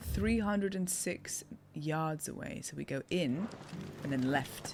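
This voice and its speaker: Speaking at a fairly slow pace, a woman with a British accent has a very deep, low voice, and there is noticeable background noise. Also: lively intonation. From England. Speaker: streamer and voice actor. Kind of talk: live gameplay stream chat. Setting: live stream. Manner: animated.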